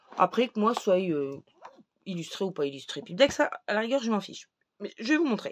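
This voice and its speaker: Medium in pitch with vocal fry, a woman's voice moves through very wide pitch swings. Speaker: tarot and oracle card reviewer. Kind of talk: casual product review. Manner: hesitant, many fillers.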